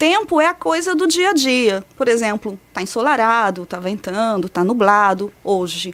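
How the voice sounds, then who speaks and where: With a São Paulo accent, a woman talks at a fairly slow pace with hardly any pauses, her fairly high pitch swinging very widely. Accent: São Paulo Brazilian Portuguese. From São Paulo state, Brazil. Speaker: meteorologist researcher. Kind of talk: interview explanation.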